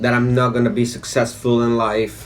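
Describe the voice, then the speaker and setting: A man keeps a moderate pace while music plays in the background and room echo is audible. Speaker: vlogger. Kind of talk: personal testimony. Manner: halting.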